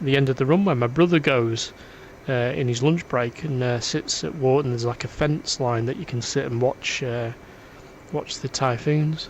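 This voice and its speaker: A man talks with a Lancashire accent. His pace is moderate and his pitch variation ordinary. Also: medium pitch for a man. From northern England, Preston, Lancashire. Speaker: gaming streamer. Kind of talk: casual chat. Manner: halting.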